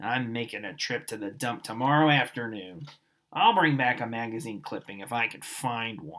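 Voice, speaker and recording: A man's put-on character voice, gruff and raspy at a medium pitch, on a very clean recording with a silent background. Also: moderate pace. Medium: read story.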